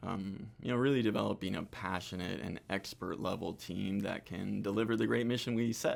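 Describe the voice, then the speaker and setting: In a very clean recording with a silent background, a man with a fairly low pitch and vocal fry talks at a moderate pace, with hardly any pauses and ordinary pitch variation. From Argentina and Costa Rica. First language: Spanish. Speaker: hospitality business manager. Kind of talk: interview. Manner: hesitant, many fillers.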